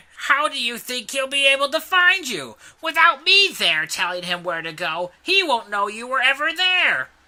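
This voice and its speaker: A put-on character voice, pitched high. The pitch swings very widely. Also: moderate pace, hardly any pauses. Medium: read story. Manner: smug, sneering.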